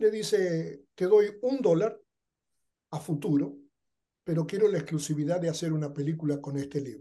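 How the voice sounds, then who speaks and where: A man speaks with lively intonation at a fairly high pitch. His tone is dark and mellow. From Argentina. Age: 70s. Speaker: television producer and writer. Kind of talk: interview conversation.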